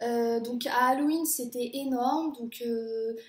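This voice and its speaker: A woman is speaking. Her pitch is high. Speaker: au pair vlogger. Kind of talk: casual vlog monologue. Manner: hesitant, many fillers.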